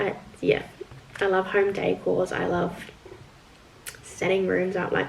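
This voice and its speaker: At a moderate pace, a woman speaks while noticeable background noise carries on. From New Zealand. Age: 20s. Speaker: vlogger. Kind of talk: casual vlog chat. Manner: chatty, casual.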